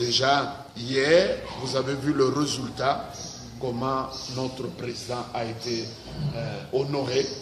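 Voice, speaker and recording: A man's fairly even intonation is heard with audible room echo and noticeable background noise. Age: 60s. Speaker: pastor. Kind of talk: interview. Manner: hesitant, many 'euh' fillers.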